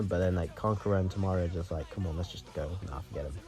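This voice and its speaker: Music plays in the background as a man talks quietly. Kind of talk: casual anime review talk to camera.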